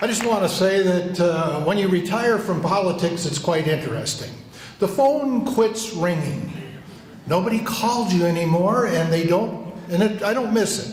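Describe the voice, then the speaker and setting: A man with a high pitch and ordinary pitch variation talks at a moderate pace, with audible room echo and noticeable background noise. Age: 80s+. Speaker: retired politician. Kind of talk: roast response speech.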